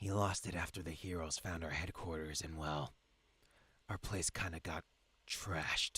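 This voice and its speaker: A man's put-on character voice, very deep and rumbling, at a moderate pace with fairly even intonation and long, frequent pauses. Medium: game stream. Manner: curt, grumbling.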